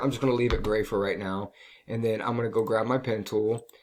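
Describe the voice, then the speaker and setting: A man speaks at a medium pitch with fairly even intonation. It is an unremarkable speaking voice. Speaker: design teacher. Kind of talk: tutorial. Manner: casual, filler-heavy.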